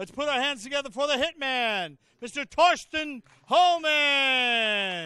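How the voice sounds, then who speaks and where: A man speaks in a raised, projected voice with an extremely high pitch and a bright, sharp tone, his intonation lively at a very slow pace. The background is quiet and the sound is dry with no echo. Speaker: arena announcer. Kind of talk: formal introduction announcement. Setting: PA system in arena. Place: hall. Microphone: handheld.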